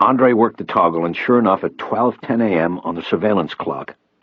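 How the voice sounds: Set against quiet surroundings, this is a natural reading voice.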